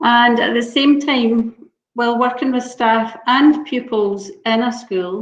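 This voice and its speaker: A woman in a Scottish accent, high-pitched, at a very slow pace with fairly even intonation. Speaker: local authority education officer. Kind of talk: webinar discussion.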